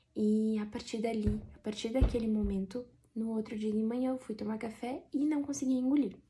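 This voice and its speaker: A woman speaks with a fairly high pitch and a somewhat breathy voice. Her tone is dark and mellow, her intonation fairly even. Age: 30s. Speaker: vlogger. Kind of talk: personal testimony.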